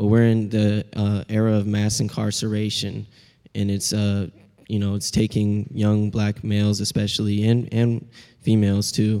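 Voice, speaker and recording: Very clean and silent in the background, this recording has a man with a Pacific Northwest accent speaking fairly slowly at a fairly low pitch, his dark, mellow tone flat and monotone. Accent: Pacific Northwest American. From US Pacific Northwest, Seattle. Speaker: college student. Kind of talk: panel discussion.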